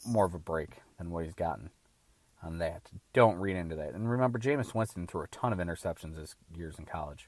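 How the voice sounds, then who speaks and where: Speaking very fast in an animated tone with lively intonation, a man comes through on a very clean recording with a silent background. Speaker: sports podcast host. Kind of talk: solo sports commentary podcast. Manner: slurred, rushed; animated ranting.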